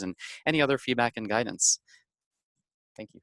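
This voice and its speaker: Recorded dry and close with no echo, a man talks at a fairly quick pace. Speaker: startup founder pitching to a feedback panel. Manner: fast talker.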